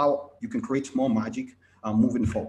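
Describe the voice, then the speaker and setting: With a lively, varied intonation, a man talks at a medium pitch. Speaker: IT consultant. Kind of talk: conference presentation. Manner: fast.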